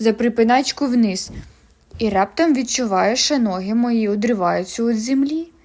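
In plain reading aloud, the pitch varies in an ordinary way.

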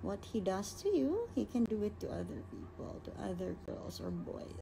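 Light background noise sits behind a woman talking at a fairly slow pace. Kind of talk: casual Q&A story chat. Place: home room. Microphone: phone near.

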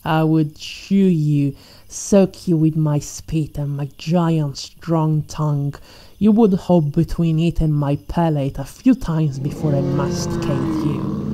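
Very slow and theatrical, a woman's menacing voice sits at a very deep, low pitch with fairly even intonation, over noticeable background noise. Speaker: ASMR roleplay performer. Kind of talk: ASMR roleplay, scripted villain monologue as a T-Rex predator. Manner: menacing, mocking and playful, with relishing sighs and laughs; slow, theatrical and teasing, purring as she taunts her prey.

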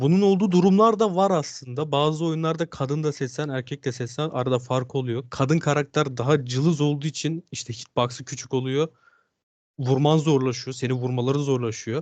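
Against a quiet background, a man talks at a moderate pace. He has an ordinary speaking voice, fairly high in pitch, with ordinary pitch variation. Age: 20s. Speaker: gamer. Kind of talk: interview.

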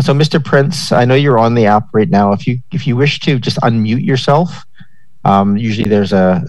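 A man speaks at a fairly quick pace. His tone is slightly mellow, with ordinary pitch variation.

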